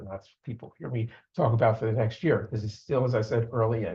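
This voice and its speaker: A man's voice comes through somewhat breathy. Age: 70s. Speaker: amateur astronomer presenting a trip report. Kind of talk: club meeting presentation. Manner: halting, many fillers and restarts.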